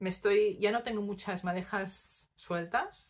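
A woman's very slow delivery with ordinary pitch variation. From Spain, Barcelona; Catalonia, Spain. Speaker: knitting podcaster. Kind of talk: casual monologue to camera; casual vlog chat. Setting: home recording on tripod. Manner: hesitant, many fillers. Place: home room. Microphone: phone near.

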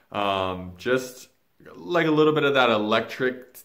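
Pitch moves in an ordinary way as a man talks fairly slowly, the background quiet. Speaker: spiritual vlogger. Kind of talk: casual vlog chat. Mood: reflective, earnest. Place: home room. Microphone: phone near.

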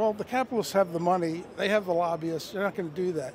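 Against light background noise, a man speaks in a high pitch with a dry sound and no echo. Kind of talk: interview answer. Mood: earnest, persuasive. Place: street. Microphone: handheld.

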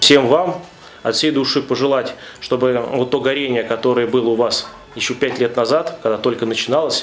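A man at a moderate pace with fairly even intonation, faint music playing in the background. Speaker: priest. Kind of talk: sermon. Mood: warm congratulatory. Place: church.

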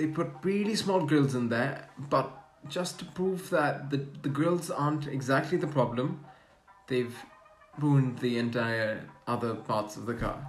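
Over faint background music, the speech goes at a fairly slow pace with long, frequent pauses and ordinary pitch variation. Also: man. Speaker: car vlogger. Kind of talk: casual vlog commentary. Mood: critical, mildly sarcastic.

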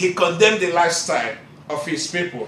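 A man's raised, projected voice carries audible room echo. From Nigeria. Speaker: Bible college student preacher. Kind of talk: sermon. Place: classroom. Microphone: camera far.

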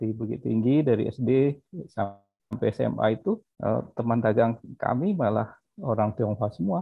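The speech moves at a fairly slow pace, with a quiet background and a dry sound with no echo. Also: man. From West Sumatra, Indonesia; Indonesia. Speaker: webinar participant. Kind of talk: audience question. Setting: video call. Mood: cheerful, laughing. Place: home room. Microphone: video call.

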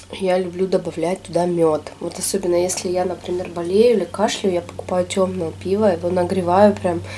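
With hardly any pauses, a woman speaks in a fairly low pitch and monotone, flat intonation against light background noise. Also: moderate pace. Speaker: food vlogger. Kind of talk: casual mukbang vlog chat. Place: home room.

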